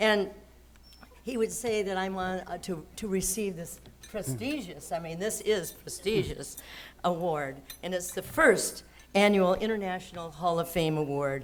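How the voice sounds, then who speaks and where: At a fairly slow pace, a woman speaks with medium pitch and ordinary pitch variation, and audible room echo is present. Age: 80s+. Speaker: award recipient. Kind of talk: acceptance speech. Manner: halting.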